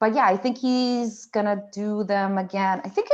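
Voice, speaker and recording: Against a quiet background, a woman with a non-native accent speaks at a moderate pace. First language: not English. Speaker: marketing agency staff member. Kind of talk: casual interview chat.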